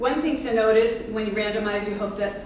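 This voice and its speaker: Noticeable background noise and audible room echo fill the recording. A woman talks with fairly even intonation. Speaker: epidemiologist and researcher. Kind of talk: conference talk. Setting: conference presentation. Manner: fast.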